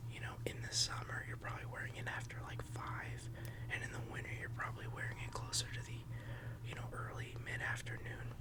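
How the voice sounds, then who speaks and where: Noticeable background noise fills the recording. A man speaks at a fairly quick pace. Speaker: ASMR content creator. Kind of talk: ASMR fragrance review. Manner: conversational, relaxed, chatty.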